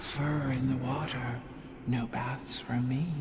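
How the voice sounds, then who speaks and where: Over loud background noise, a put-on character voice at a low-to-middle pitch moves at a fairly slow pace. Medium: game stream. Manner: sneering, detached.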